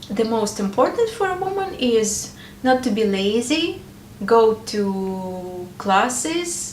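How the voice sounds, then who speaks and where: Her pitch swinging very widely, a woman talks in a room with audible echo and noticeable background noise. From Ukraine. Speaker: married woman sharing advice. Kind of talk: personal advice talk to camera. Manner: hesitant, with filler sounds.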